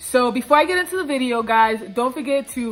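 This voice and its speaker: With music in the background, a woman speaks in an American accent at a high pitch, with lively intonation and a moderate pace. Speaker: YouTuber. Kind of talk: personal vlog storytelling. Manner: casual, many fillers.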